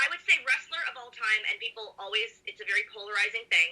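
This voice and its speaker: A woman with a high pitch and a bright, sharp tone sounds upbeat as she speaks at a moderate pace. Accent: slight Southern US. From US, lived in Texas. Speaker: wrestling announcer and show host. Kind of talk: interview. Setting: video call. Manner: upbeat, giggly.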